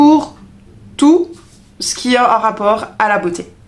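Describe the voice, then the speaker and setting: A speaker with a Belgian accent and ordinary pitch variation. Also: woman. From Belgium. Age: 30s. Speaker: beauty vlogger, trained beautician. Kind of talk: product review vlog. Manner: hesitant, many fillers.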